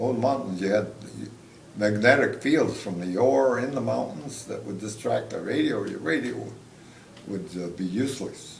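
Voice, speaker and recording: The speaker goes at a moderate pace, with audible room echo. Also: man. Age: 80s+. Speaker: war veteran. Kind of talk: interview. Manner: halting.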